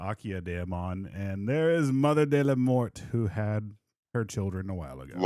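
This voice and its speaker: Lively intonation at a fairly slow pace, on a very clean recording with a silent background. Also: man. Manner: introducing characters, announcing.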